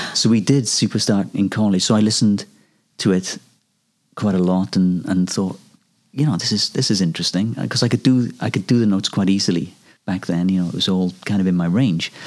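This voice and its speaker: A man with a Welsh accent talks at a fairly quick pace in a fairly low voice with ordinary pitch variation. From Wales. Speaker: singer-songwriter. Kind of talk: interview.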